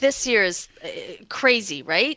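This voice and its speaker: Loud and bright with a sharp tone, a woman's high voice moves at a fairly slow pace with lively intonation, recorded dry and close with no echo against a quiet background. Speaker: podcast co-host. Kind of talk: casual chat. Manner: animated.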